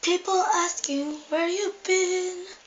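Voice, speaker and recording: A squeaky, put-on character voice from a woman, extremely high in pitch. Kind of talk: amateur comic parody. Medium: solo performance. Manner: exaggerated, jokey.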